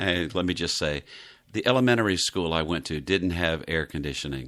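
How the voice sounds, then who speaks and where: Talking at a fairly quick pace in an American accent, a man with a very deep, low pitch and vocal fry shows ordinary pitch variation in a very clean recording with a silent background. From US South, Miami, Florida. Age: 60s. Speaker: devotional podcast host. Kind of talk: devotional podcast talk.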